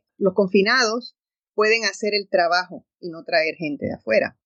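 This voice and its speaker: A woman speaks with ordinary pitch variation. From Puerto Rico. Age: 60s. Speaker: radio host. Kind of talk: radio talk show monologue. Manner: animated.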